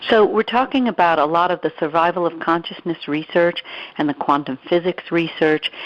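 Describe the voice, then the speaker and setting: A woman talks at a moderate pace in a fairly low pitch, with ordinary pitch variation, as noticeable background noise runs behind her. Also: dry, close sound with no echo. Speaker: radio show host. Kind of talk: interview conversation.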